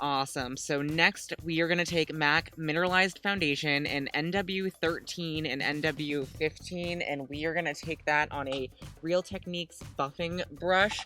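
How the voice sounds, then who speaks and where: Moderate pace with hardly any pauses, a dry sound with no echo, and faint music in the background. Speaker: beauty vlogger. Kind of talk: makeup tutorial. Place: home room. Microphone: webcam.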